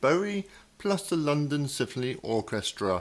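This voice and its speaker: In a normal speaking voice, a man talks at a moderate pace with lively intonation. The recording is very clean, with a silent background. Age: 50s. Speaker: radio host. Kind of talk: radio interview.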